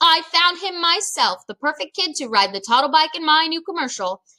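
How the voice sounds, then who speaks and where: A woman speaks loudly in a put-on character voice at an extremely high pitch. Her pace is fairly quick. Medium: read story. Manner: loud, domineering.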